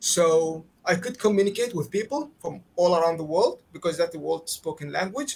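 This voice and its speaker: Speaking with an Arabic accent, a man uses a high pitch and ordinary pitch variation. He keeps a moderate pace with hardly any pauses. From Qatar. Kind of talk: interview answer.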